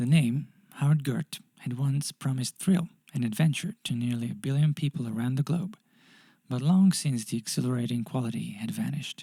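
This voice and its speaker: The man's medium-pitched voice is somewhat breathy, with a dark, mellow tone. He speaks at a fairly quick pace in a dry, close sound with no echo. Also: ordinary pitch variation. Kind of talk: audiobook short story reading.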